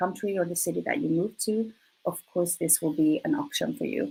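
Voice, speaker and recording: A woman talks with a Swedish accent, fairly low in pitch. Her voice is somewhat breathy, with lively intonation. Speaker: recruiter. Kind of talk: presentation. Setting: live online presentation.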